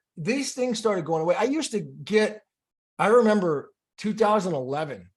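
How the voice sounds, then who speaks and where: Lively in intonation, a man with an American accent talks at a moderate pace. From California. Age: 40s. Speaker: health influencer. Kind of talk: live stream monologue. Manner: halting.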